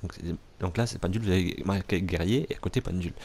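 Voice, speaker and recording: Speaking at a very fast pace, a man has a fairly low pitch. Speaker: gaming let's play youtuber. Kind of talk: let's play commentary. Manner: halting, many fillers.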